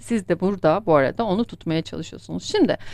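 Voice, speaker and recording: Delivered at a fairly quick pace with lively intonation, the speech comes through on a very clean recording with a silent background. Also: woman. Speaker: coffee fortune teller. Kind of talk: fortune-telling monologue. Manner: fast.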